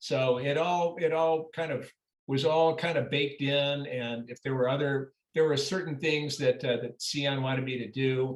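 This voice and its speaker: At a moderate pace, a man speaks with a fairly high pitch, fairly even intonation and an ordinary speaking voice. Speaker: actor. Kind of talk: interview answer. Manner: casual, conversational.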